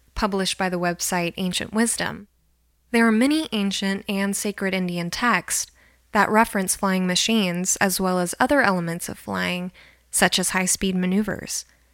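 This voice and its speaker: Heard on a very clean recording with a silent background, an unremarkable speaking voice moves at a moderate pace with ordinary pitch variation. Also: woman. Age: 20s. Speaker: podcast host. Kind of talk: scripted narration. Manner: formal.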